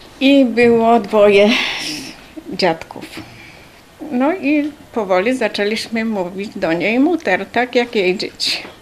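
Over noticeable background noise, a woman speaks very slowly with long, frequent pauses. Her fairly high voice has lively intonation. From Poland. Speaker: wartime deportation survivor. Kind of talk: testimony.

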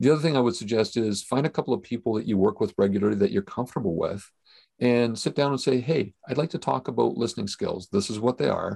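A man with a Canadian accent talks at a very fast pace, his voice medium in pitch with vocal fry and ordinary pitch variation. His tone is dark and mellow, and the sound is dry and close with no echo. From Canada. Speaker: podcast host. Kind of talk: casual chat.

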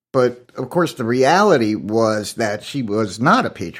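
Vocal fry from a man at a fairly slow pace, on a very clean recording with a silent background. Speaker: history professor. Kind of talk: academic discussion.

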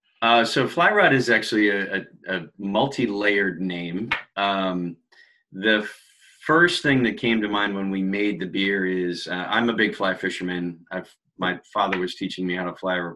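A man with a normal speaking voice talks at a moderate pace with fairly low pitch and fairly even intonation against a quiet background. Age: 50s. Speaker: brewery owner. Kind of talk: casual chat.

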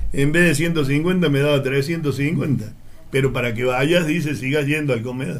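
A man with a fairly high voice speaks at a fairly slow pace and with fairly even intonation, and the room echo is audible. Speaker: former newspaper seller. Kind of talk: casual chat.

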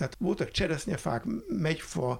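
Over noticeable background noise, a man with a fairly high pitch speaks at a moderate pace using lively intonation. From Hungary, Budapest. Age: 70s. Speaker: retired college teacher, environmental educator. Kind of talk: interview.

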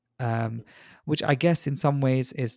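In a dry, close recording with no echo, a man with a dark, mellow tone speaks at medium pitch and a moderate pace, his intonation fairly even. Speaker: emergency doctor. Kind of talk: discussion.

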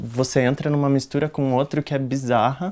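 Fairly quick and fairly high-pitched, a man speaks with monotone, flat intonation. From Brazil, Rio de Janeiro and Brasília. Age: 20s. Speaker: youth activist at an NGO. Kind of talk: casual chat.

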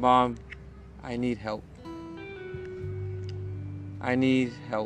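Over clear background music, a man puts on a character voice that is shaky and flat in a monotone, pitched at a medium level.

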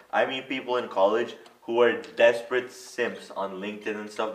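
A man talks at a moderate pace in a medium pitch with ordinary pitch variation, and there is noticeable background noise. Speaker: podcast host. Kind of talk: casual comedic podcast chat.

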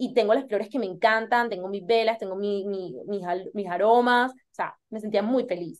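A woman speaks in a normal speaking voice at a moderate pace. Her pitch is fairly high, with ordinary pitch variation. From Colombia. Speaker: interior designer. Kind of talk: podcast interview.

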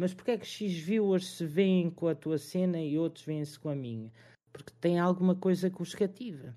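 High in pitch yet dark and mellow in tone, a man speaks at a moderate pace with ordinary pitch variation. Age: 20s. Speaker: streamer and restaurant worker. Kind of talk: casual chat.

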